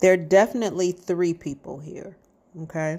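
A woman speaks in a dark, mellow tone. Her intonation stays fairly even. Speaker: psychic reader. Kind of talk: psychic reading monologue. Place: garden. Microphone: earbuds.

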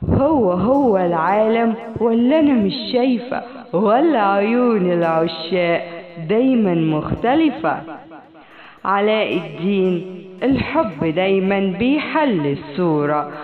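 A woman with an Egyptian accent at a very slow pace, medium in pitch with very wide pitch swings and very even loudness, over music in the background. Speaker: voice-over artist. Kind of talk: read story. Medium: read story.

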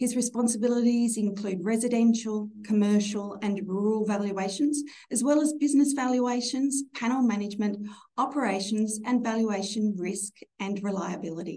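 With ordinary pitch variation, a woman talks at a moderate pace. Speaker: bank executive webinar host. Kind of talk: formal webinar introduction. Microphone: video call.

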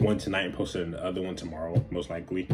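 A man talks very fast with a very deep, low pitch. Faint music plays in the background. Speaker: reaction video creator. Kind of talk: casual vlog chat. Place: home room. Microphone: phone near.

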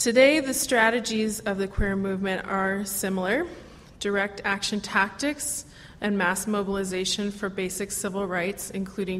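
A woman speaks at a moderate pace and medium pitch, her intonation fairly even. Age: 20s. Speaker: activist panel speaker. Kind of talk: convention panel talk. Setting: convention hall with audience. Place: hall. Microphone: podium.

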